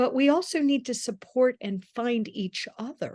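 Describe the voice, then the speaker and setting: The tone is animated. The intonation is lively. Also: woman. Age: 60s. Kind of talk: interview.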